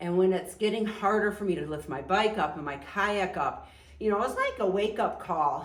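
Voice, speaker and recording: Noticeable background noise and audible echo from the room accompany a woman's moderate-paced speech. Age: 60s. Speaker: outdoor adventure vlogger and former fitness trainer. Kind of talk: casual chat. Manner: hesitant, many fillers.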